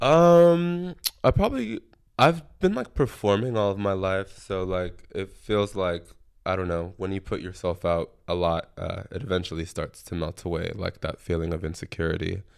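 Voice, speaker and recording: A man with a plain, everyday voice and an American accent, fairly low in pitch with ordinary pitch variation, at a moderate pace on a very clean recording with a silent background. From Texas, San Antonio. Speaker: musician and ballroom house member. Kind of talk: casual interview.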